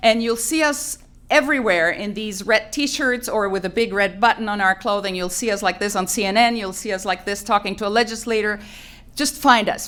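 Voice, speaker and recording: Spanish accent at a moderate pace. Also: woman. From Colombia. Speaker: environmental advocacy coordinator. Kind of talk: press conference opening remarks. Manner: formal.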